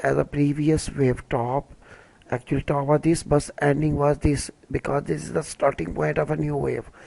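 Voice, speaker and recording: The speaker talks at a fairly slow pace in a Pakistani accent. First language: Urdu. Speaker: crypto trading analyst. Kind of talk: tutorial. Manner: hesitant, with fillers.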